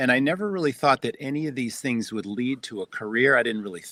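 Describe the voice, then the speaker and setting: With lively intonation and a medium pitch, a man talks in a normal speaking voice, recorded with a dry, close sound with no echo. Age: 60s. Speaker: restaurant entrepreneur and podcast host. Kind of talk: interview storytelling.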